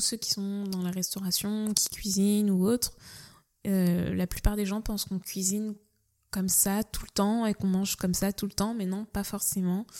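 On a very clean recording with a silent background, a woman speaks fairly slowly in a flat monotone at medium pitch. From France, Nantes. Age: young. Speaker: cook. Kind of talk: casual interview. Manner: hesitant, many fillers.

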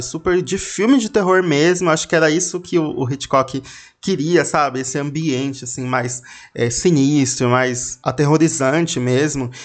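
A fairly high-pitched man at a fairly slow pace, with ordinary pitch variation. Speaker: podcast host. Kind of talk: casual storytelling monologue.

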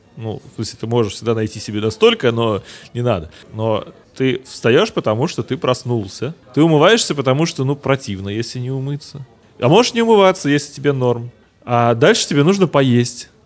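A man at a medium pitch and moderate pace, lively intonation over music in the background. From Russia, St Petersburg. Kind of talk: casual chat.

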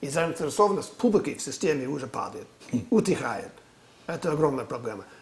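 Fairly high male speech with clear background noise behind it. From US California. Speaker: political analyst. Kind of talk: interview discussion on politics.

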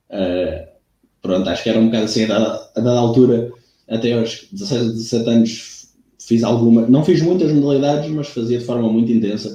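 A man of medium pitch with a dark, mellow tone, somewhat breathy, at a moderate pace with ordinary pitch variation and audible room echo. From Algarve, Portugal (Lagos). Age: 20s. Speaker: athletics coach. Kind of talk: casual interview.

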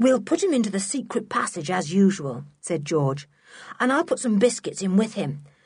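The speaker reads in an unforced voice. Nothing about the delivery sounds pushed.

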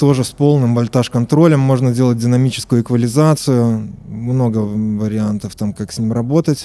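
Speaking at a moderate pace, a man has a medium pitch, a dark, mellow tone and ordinary pitch variation. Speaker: synthesizer maker. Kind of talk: interview.

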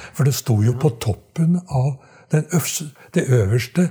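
Very slowly and somewhat breathily, a man speaks in a dark, mellow tone at a fairly high pitch, with lively intonation. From Trøndelag, Norway (Skogn). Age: 80s+. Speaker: retired dialect researcher. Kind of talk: interview storytelling. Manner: halting, many repetitions.

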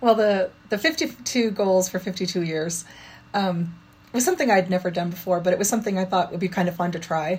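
A woman speaks at a fairly quick pace in a somewhat breathy, medium-pitched voice with ordinary pitch variation. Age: 50s. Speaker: parkour practitioner and music teacher. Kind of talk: interview.

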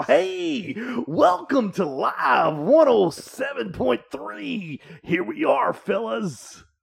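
Very slow, high-pitched delivery from a man in a put-on character voice. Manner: upbeat, energetic, bright.

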